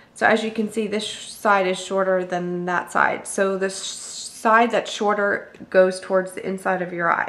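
Speaking at a fairly slow pace, a woman keeps a medium pitch in a monotone, flat intonation. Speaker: beauty vlogger. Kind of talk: tutorial. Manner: casual with many ums.

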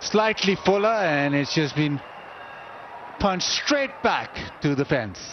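With noticeable background noise, a man speaks at a fairly slow pace with long, frequent pauses and lively intonation. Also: very even loudness. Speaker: cricket commentator. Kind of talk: live cricket commentary. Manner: conversational, appraising shots with pundit-style remarks.

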